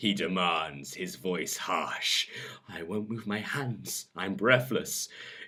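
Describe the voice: Pitch varies in an ordinary way as the speaker does plain reading aloud.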